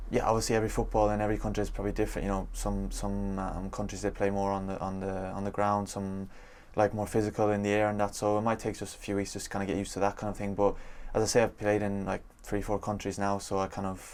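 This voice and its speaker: A man in an Irish accent, fairly low-pitched, very fast and monotone, with flat intonation. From Ireland. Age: 20s. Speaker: professional footballer. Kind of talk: interview. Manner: halting, many fillers.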